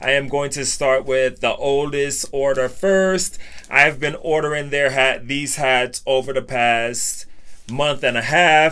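With music playing in the background, a man speaks at a fairly slow pace and with fairly even intonation. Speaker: hat collector youtuber. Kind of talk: casual vlog chat. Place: home room. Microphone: phone near.

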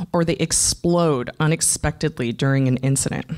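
A woman keeps a moderate pace as she talks, with quiet behind her. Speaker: conference speaker. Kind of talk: conference talk. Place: stage. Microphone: handheld.

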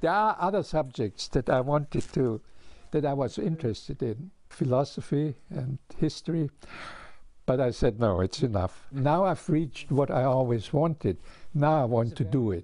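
A fairly high-pitched man's voice with a dark, mellow tone, lively intonation, a moderate pace and a dry sound with no echo. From Austria. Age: 80s+. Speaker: physicist and retired hematologist. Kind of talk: interview answer. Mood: happy, proud. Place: home room. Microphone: lapel.

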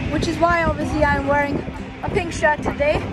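Loud music plays in the background as a man speaks, the sound dry with no echo. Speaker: cycling vlogger. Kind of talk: casual vlog chat. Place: street. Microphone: phone near.

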